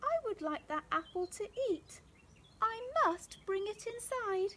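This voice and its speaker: Using a put-on character voice, a woman speaks in a gentle, squeaky tone at an extremely high pitch, with lively intonation and a fairly slow pace. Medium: read story. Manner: polite, gentle.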